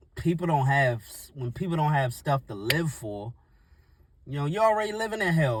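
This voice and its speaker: A somewhat breathy male voice at a moderate pace, with lively intonation. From US, Washington D.C. (Northeast). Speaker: YouTuber, motivational talker. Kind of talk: casual motivational monologue. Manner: halting, unscripted.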